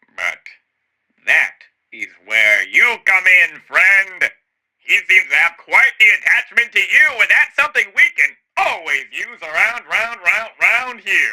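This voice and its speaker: A raised, projected put-on character voice from a man, extremely high-pitched, at a fairly slow pace. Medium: audio drama. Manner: dry, sardonic.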